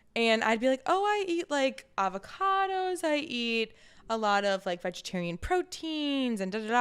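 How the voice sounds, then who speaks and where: With a slight Southern US accent, a woman talks in a fairly high pitch and an animated tone, her pitch swinging very widely. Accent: slight Southern twang at times. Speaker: podcast co-host. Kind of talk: casual chat.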